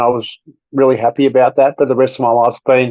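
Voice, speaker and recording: This man's pitch is fairly high. He talks at a very fast pace. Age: 60s. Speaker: podcast guest sharing weight loss story. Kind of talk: personal testimony in interview.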